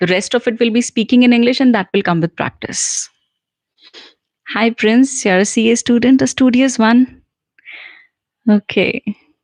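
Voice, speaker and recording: A woman with an Indian accent talks at a moderate pace in a fairly high pitch, with fairly even intonation. Long, frequent pauses break up her speech, and the sound is dry and close with no echo. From central India. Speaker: English communication trainer. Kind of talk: live Q&A stream. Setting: livestream. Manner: casual, conversational with fillers.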